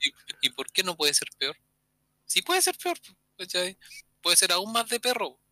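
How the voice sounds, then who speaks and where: A man's raised, projected voice in a Chilean accent, high-pitched with a bright, sharp tone and ordinary pitch variation, at a moderate pace with long, frequent pauses, dry and close with no echo. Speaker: podcast co-host. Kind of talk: casual chat.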